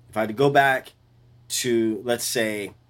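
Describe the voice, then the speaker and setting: A man's medium-pitched voice with ordinary pitch variation and a New Orleans accent, on a very clean recording with a silent background. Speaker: bass player. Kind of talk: interview. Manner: animated.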